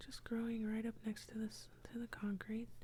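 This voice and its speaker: Whispering and soft-spoken, the voice moves at a fairly slow pace. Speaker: ASMR artist. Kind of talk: ASMR drawing narration. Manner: whispered, soft-spoken.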